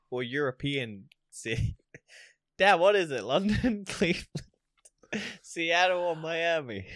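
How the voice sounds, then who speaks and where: Talking with an American accent, a man speaks in a high pitch at a fairly slow pace with lively intonation and long, frequent pauses. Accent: American-sounding. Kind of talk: casual chat. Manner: irreverent, sarcastic.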